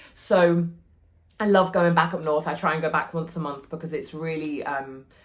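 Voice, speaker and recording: This woman's voice is very deep and low in pitch. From northern England, Cheshire. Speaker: podcast host, wellbeing community founder. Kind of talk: motivational talk. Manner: animated.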